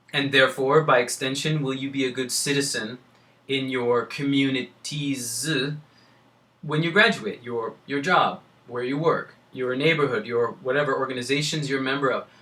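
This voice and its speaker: A man at medium pitch and moderate pace, with a bright, sharp tone. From California. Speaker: admissions consultant. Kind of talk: lecture. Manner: animated.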